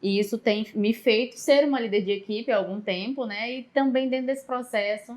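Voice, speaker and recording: A woman speaks in a northeastern Brazilian accent with fairly even intonation. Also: fairly high pitch for a woman, moderate pace, hardly any pauses. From Northeast Brazil, Maranhão. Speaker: psychologist and public manager. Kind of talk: podcast interview.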